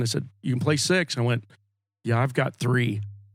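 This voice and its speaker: An ordinary speaking voice moves through ordinary pitch variation. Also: man. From Oklahoma. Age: 60s. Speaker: singer-songwriter. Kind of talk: casual chat.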